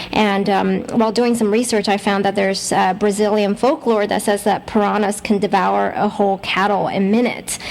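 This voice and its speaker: A woman speaks at a moderate pace and medium pitch with ordinary pitch variation, while noticeable background noise carries on. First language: Mandarin. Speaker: radio host. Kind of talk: radio interview. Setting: radio show.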